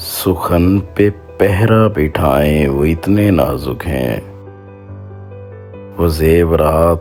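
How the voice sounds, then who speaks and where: A man speaks with a very deep, low pitch and ordinary pitch variation. Music is in the background. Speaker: poetry voiceover artist. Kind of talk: poetry reading.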